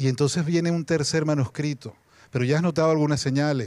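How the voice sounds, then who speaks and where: Over a silent background in a very clean recording, a man speaks very fast. His tone is dark and mellow. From Venezuela. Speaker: novelist. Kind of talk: panel talk. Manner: animated, humorous storytelling.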